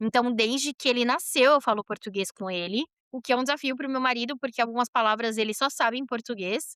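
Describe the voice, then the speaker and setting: High in pitch, a woman speaks with a bright, sharp tone at a moderate pace. The sound is dry and close, with no echo. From Brazil, São Paulo. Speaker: podcast guest, journalist and mother. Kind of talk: casual interview conversation. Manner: animated, fluent with frequent fillers.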